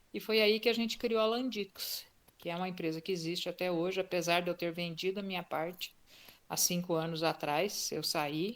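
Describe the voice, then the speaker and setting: Recorded very cleanly with a silent background, a woman uses an ordinary speaking voice, fairly low in pitch, at a moderate pace with ordinary pitch variation. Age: 60s. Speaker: retired tech entrepreneur. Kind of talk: interview.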